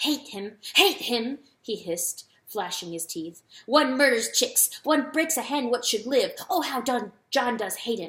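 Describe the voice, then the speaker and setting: A put-on character voice, female-sounding, high-pitched, raised and projected, with hissing and a fairly slow pace. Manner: hissing, venomous.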